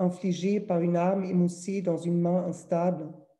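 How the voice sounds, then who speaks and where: A woman speaks fairly slowly at a medium pitch, her tone dark and mellow and somewhat breathy. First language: German (speaking French). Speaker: publisher. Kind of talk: reading aloud.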